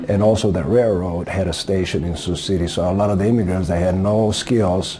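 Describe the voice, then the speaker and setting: A man with a Greek accent speaks at a moderate pace in a very deep, low pitch with fairly even intonation. Audible room echo and noticeable background noise are present. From Greece. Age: 60s. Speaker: auto body worker. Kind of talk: interview. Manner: hesitant, with frequent fillers.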